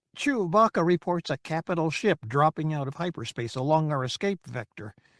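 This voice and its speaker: Using a put-on character voice, a man speaks at a moderate pace and a fairly high pitch on a very clean recording with a silent background. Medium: read story. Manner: prim, fussy.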